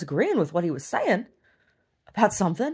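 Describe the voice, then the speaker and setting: Recorded very cleanly against a silent background, a woman speaks in a somewhat breathy voice with very wide pitch swings. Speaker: video diarist. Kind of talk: video diary monologue. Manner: halting, repetitive.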